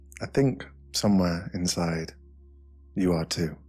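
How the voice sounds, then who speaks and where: Over music in the background, the speaker talks at a fairly slow pace. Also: man. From British. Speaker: meditation guide. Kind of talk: guided meditation. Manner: soft-spoken, slow.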